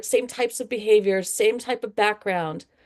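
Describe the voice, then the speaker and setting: Here is a woman with a normal speaking voice. She talks at a moderate pace with fairly even intonation. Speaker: education researcher presenter. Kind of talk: presentation to work group.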